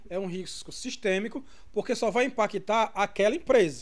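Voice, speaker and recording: A man with a high pitch speaks at a moderate pace. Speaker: business lecturer. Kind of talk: online lecture livestream. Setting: live stream.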